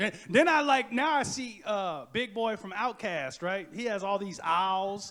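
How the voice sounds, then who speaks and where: A man speaks at a fairly slow pace in a high voice with lively intonation. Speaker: birder and educator, keynote speaker. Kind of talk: Q&A answer. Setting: lecture hall with audience. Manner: energetic.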